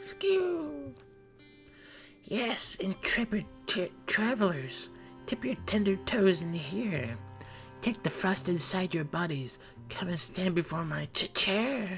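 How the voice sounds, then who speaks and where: Using a put-on character voice, a man speaks quietly at a high pitch and a fairly slow pace with long, frequent pauses, while clear music plays in the background. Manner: stuttering, cold-struck.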